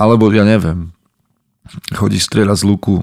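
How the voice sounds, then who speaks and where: A man's fairly low, dark, mellow voice in a dry, close sound with no echo. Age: 30s. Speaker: podcast host and men's coach. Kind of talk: solo podcast monologue.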